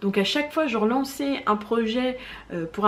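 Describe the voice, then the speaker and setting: Audible room echo surrounds a woman's voice. She speaks fairly slowly at a fairly high pitch. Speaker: knitting vlogger. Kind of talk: casual chat.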